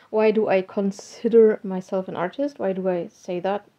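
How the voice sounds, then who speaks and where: With a German accent, the speaker talks at a fairly slow pace with fairly even intonation. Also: woman. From Germany. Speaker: hobby artist and technical translator. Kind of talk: casual vlog talk.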